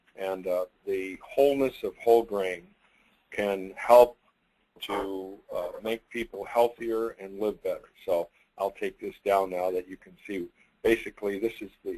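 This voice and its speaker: This man's voice is fairly low in pitch, with a dark, mellow tone. He talks at a fairly slow pace with fairly even intonation. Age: 80s+. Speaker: company founder. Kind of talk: webinar presentation. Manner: halting.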